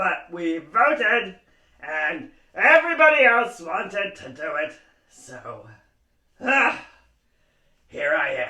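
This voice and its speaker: This man uses a cartoonish character voice pitched extremely high, speaking at a fairly slow pace with long, frequent pauses. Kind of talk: puppet show hosting for kids. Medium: puppet.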